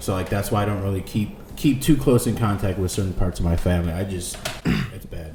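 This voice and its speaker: A man with an American accent, fairly low in pitch with ordinary pitch variation, at a moderate pace amid audible room echo and noticeable background noise. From came to the US from Mexico as a toddler. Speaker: podcast guest. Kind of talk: casual chat. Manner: halting. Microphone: too far from the mic.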